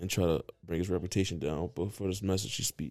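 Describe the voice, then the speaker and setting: Dark and mellow in tone, a man speaks at a fairly quick pace. His pitch varies in an ordinary way. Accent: American. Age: 20s. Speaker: podcast host. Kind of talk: casual chat. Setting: studio.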